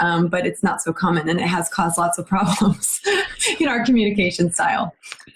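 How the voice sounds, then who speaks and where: With an American accent, a woman talks at a fairly quick pace over noticeable background noise. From United States. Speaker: tech business founder. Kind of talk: casual chat.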